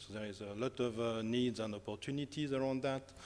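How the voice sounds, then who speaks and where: A man with a strong French accent speaks at a medium pitch. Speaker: academic researcher. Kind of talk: conference talk. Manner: hesitant, many fillers.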